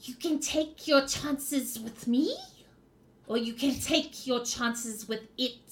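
In a put-on character voice, a female-sounding voice growls at a high pitch for a woman and a fairly slow pace. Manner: menacing.

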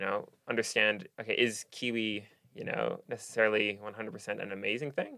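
A man with an American accent talks at a fairly quick pace. His voice sits fairly low and has a bright, sharp tone. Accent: American-leaning international English. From Singapore. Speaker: podcast host and university student. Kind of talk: casual interview chat. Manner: nervous but excited.

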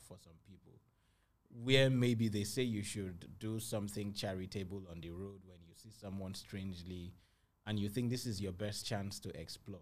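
With a Nigerian accent, a man talks at a fairly low pitch with ordinary pitch variation. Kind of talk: interview. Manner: energetic.

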